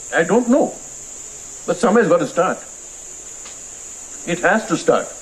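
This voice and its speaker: A man speaks in an animated tone at a fairly quick pace. His high voice carries lively intonation over noticeable background noise. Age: 70s. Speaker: film director and author. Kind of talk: interview at a literary festival.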